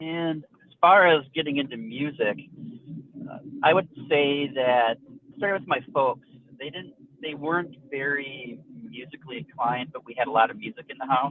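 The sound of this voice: The recording of this man has a dry, close sound with no echo, and he talks at a moderate pace. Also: medium pitch for a man, ordinary pitch variation.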